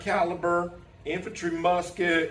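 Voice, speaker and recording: A man with a high voice speaks amid noticeable background noise and audible room echo. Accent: Southern US. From US South. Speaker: teacher and pastor. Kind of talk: conference presentation.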